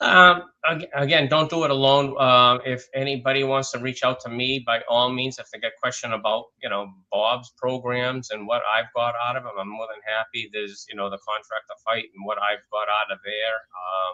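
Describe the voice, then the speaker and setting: With ordinary pitch variation, a man talks at a moderate pace and a medium pitch. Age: 60s. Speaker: business owner. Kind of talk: interview. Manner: halting.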